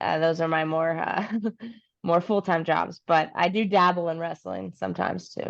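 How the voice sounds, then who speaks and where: A normal speaking voice from a woman with an American accent, fairly low pitch, ordinary pitch variation, and a fairly slow pace over a quiet background. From Kentucky, US South. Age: 30s. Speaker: professional wrestler. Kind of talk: casual chat.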